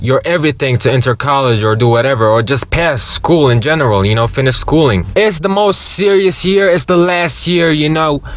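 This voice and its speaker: A man speaks at a moderate pace with a fairly high pitch, an animated tone and lively intonation over noticeable background noise. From Jordan. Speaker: youtuber. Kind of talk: storytime, casual monologue. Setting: in a car. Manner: louder than usual; casual, animated.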